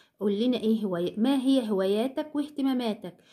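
This woman has an Egyptian accent, a fairly high pitch, a dark, mellow tone and lively intonation. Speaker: English teacher. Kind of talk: lecture. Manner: slow, repeating each word.

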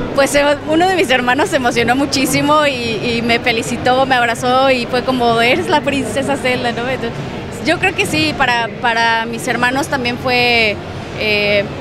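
A woman talks at a moderate pace. The sound is dry with no echo, though background noise is noticeable. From Mexico. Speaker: voice actor. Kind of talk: interview answer. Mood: cheerful, smiling. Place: hall. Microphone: handheld.

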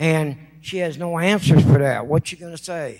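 With an American accent, a man speaks at a moderate pace. His pitch is high, with ordinary variation. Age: 60s. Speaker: public commenter at city council. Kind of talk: public comment speech. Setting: city council chamber. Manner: impassioned, pleading.

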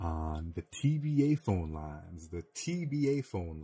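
A man speaks with a very deep, low pitch and very wide pitch swings, sounding somewhat breathy. The recording is very clean, with a silent background. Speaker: podcast host. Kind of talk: casual chat. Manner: animated.

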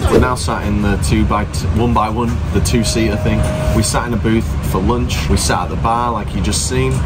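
Loud noise in the background and a man's moderately paced speech. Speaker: travel vlogger. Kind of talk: casual vlog chat. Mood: jokey, cheeky banter. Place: train. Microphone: phone near.

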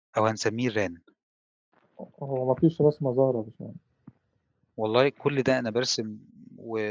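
A man talks at a moderate pace with fairly even intonation and long, frequent pauses. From Egypt. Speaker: telecom engineer and trainer; trainer. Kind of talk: lecture. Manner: conversational. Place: home room. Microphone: headset.

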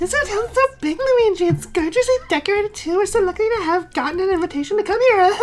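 A female-sounding, put-on character voice talks at a very fast pace, squeaky and extremely high in pitch, with clear background noise behind it. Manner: sweet, cheerful, excited.

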